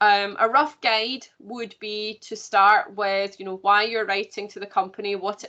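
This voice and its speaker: With a normal speaking voice, a woman talks at a moderate pace in a medium pitch and fairly even intonation. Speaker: careers consultant. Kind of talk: online workshop presentation.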